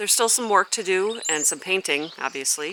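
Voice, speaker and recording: A woman mumbles with ordinary pitch variation against noticeable background noise. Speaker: gardener and channel host. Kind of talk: garden walk-through vlog. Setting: outdoors in a garden. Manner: mumbling a little; casual with frequent fillers.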